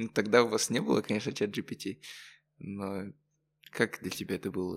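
A man's voice, with ordinary pitch variation and a moderate pace, sits on a very clean recording with a silent background. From Kazakhstan, Karaganda. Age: young. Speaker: student podcast host. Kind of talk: casual interview.

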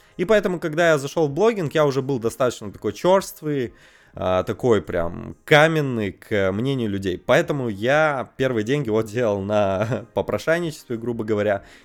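A man with an unremarkable speaking voice, a medium pitch, lively intonation and a moderate pace, in a very clean recording with a silent background. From Russia, Perm region. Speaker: info-business producer. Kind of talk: casual chat. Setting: studio.

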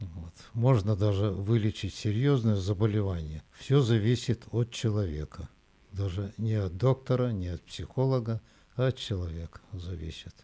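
The very clean recording, with its silent background, carries a man's fairly low, dark, mellow voice. He speaks fairly slowly with ordinary pitch variation. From Russia, Nizhny Tagil (Urals). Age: 80s+. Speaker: retired engineer, grandfather. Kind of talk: life story interview.

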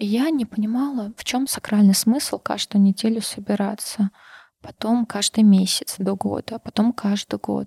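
A woman's fairly high, somewhat breathy voice with a dark, mellow tone at a moderate pace, dry and close with no echo, on a very clean recording against a silent background. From Karachay-Cherkessia, North Caucasus, Russia. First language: Circassian (speaking Russian). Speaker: internal audit manager. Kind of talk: casual interview.

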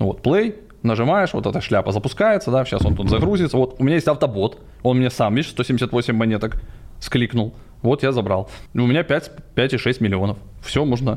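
At a moderate pace, a man with an unremarkable speaking voice talks at a medium pitch with lively intonation and very even loudness. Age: 40s. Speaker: crypto entrepreneur. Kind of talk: casual chat. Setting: studio.

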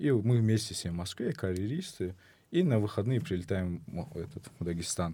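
With lively intonation and a moderate pace, a man speaks in a fairly low, dark, mellow voice that is somewhat breathy. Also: very clean recording, silent background. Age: 20s. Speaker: medical student. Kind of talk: casual chat.

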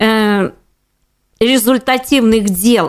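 A woman with a plain, everyday voice speaks at a fairly high pitch with fairly even intonation, on a very clean recording with a silent background. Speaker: housing and utilities lawyer. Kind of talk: interview.

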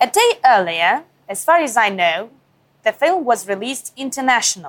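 A woman speaks with a Russian accent at a moderate pace. Her pitch is high. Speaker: TV correspondent. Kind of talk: interview.

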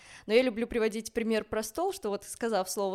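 A normal speaking voice moving at a moderate pace. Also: woman. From Belarus, Minsk. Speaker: ballet dancer. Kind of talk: casual chat.

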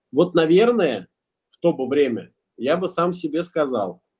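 A man speaks with lively intonation. His pace is very slow. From Russia, Ulyanovsk. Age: 20s. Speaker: entrepreneur and musician. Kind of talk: podcast interview.

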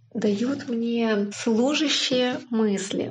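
Over noticeable background noise, a woman talks at a high pitch with fairly even intonation. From Ukraine. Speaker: English teacher, listener. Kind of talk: recorded listener testimonial.

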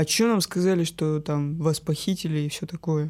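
A woman speaks at a moderate pace with a very deep, low pitch and a dark, mellow tone. Her intonation is fairly even, and the recording is very clean with a silent background. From northern Russia, rural village. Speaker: guest sharing personal abuse story. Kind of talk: personal testimony.

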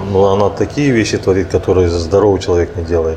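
Noticeable background noise behind a man's very deep, low voice with ordinary pitch variation. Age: 30s. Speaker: organic fertilizer producer. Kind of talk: interview conversation. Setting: cafe. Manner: halting.

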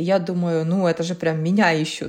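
At a moderate speed, an unremarkable speaking voice carries on. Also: woman. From Ukraine, Kyiv. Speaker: startup consultant and social entrepreneur. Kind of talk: casual interview. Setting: video call.

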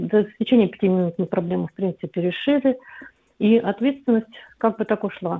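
Her voice fairly high, a woman talks at a very fast pace with ordinary pitch variation. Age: 50s. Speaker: caller. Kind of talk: phone-in call.

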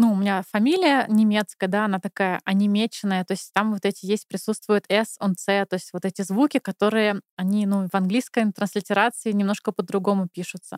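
A woman with an ordinary speaking voice talks at a fairly quick pace and medium pitch, with fairly even intonation and hardly any pauses, in a dry, close recording with no echo. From Moscow, Russia. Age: 30s. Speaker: podcast guest. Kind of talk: casual chat.

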